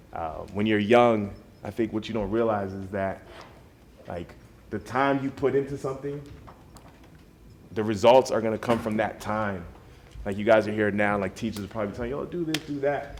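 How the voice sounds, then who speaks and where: A man with an American accent speaks at a moderate pace with ordinary pitch variation. His delivery has long, frequent pauses. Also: fairly low pitch for a man. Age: 30s. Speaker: DJ. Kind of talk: motivational talk to students. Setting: school study hall with students. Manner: casual, conversational.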